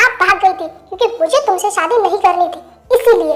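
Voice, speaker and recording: A female-sounding put-on character voice squeaks at an extremely high pitch. It moves along at a moderate pace. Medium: audio drama. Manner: defiant, emotional.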